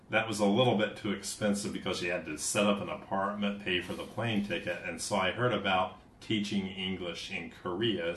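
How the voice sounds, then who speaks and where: At a moderate pace, a man with a Midwestern accent speaks with ordinary pitch variation over noticeable background noise. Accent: American Midwest. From US Midwest, southern Ohio. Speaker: English teacher and musician. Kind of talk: casual chat. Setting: studio.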